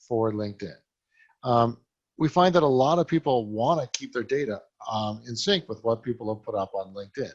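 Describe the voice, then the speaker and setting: The man's medium-pitched voice carries ordinary pitch variation. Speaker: software company president presenting a webinar. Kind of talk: product presentation webinar. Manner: fast.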